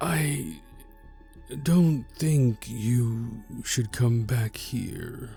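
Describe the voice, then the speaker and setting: A man does a put-on character voice at a medium pitch with very wide pitch swings, a very slow pace and long, frequent pauses. Clear music plays in the background, along with hissing. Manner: hissing, unwelcoming.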